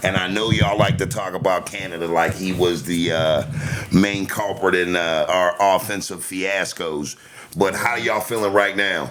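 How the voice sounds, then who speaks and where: An animated man with a very deep, low pitch and an American accent speaks at a moderate pace with ordinary pitch variation, over noticeable background noise. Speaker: podcast host. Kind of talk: casual chat.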